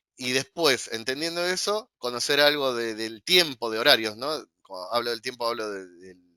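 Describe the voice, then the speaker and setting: A man speaks at a moderate pace in a bright, sharp tone. His loudness swings widely. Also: medium pitch for a man, lively intonation. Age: 40s. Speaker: cyber intelligence analyst and lecturer. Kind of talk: interview. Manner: halting, many fillers.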